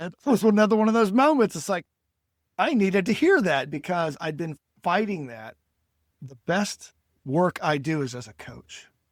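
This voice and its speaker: Speaking with an American accent at a moderate pace, the voice swings very widely in pitch and shows big swings in loudness. Long, frequent pauses break up the speech, and the recording is very clean with a silent background. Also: man, high pitch for a man. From United States. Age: 60s. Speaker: storytelling and speaking coach. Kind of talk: podcast interview.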